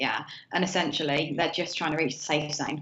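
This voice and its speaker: A woman speaks with a very deep, low pitch. Audible room echo surrounds her voice. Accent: British. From southern England, Hampshire. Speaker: novelist. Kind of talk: interview. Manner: halting, many fillers.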